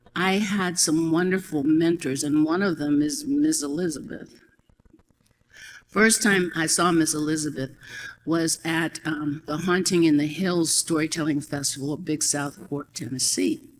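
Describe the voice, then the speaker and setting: Speaking fairly slowly, a woman has a very deep, low pitch. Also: ordinary pitch variation. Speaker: storyteller. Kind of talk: personal storytelling to an audience.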